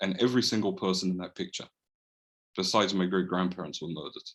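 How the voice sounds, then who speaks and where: A man speaks with a London accent. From London, England (Edgware). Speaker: holocaust remembrance activist. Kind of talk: presentation talk. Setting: video call.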